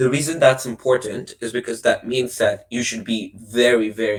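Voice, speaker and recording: With fairly even intonation, a man's somewhat breathy voice moves at a fairly slow pace. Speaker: debate coach. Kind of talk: workshop lecture.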